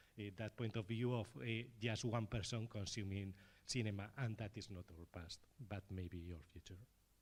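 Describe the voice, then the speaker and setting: A man speaks with a Spanish accent at a fairly low pitch. His voice is somewhat breathy. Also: ordinary pitch variation, moderate pace. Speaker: filmmaker at festival panel. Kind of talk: panel discussion.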